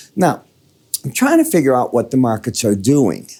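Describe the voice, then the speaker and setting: A man with an American accent, dark, mellow in tone, at a moderate pace. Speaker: market analyst. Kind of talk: market commentary. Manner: casual.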